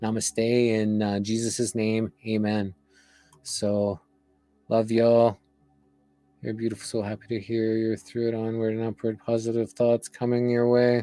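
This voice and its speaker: Over background music, a man at a medium pitch talks fairly slowly in a flat monotone, the sound dry and close with no echo. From Slovakia. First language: Slovak. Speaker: wellness session host. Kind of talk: closing remarks of a live wellness stream.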